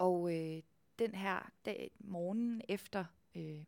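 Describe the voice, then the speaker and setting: A woman's fairly low voice with ordinary pitch variation comes through in a dry, close recording with no echo and a very clean, silent background. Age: 20s. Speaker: stage actor. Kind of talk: interview. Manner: halting.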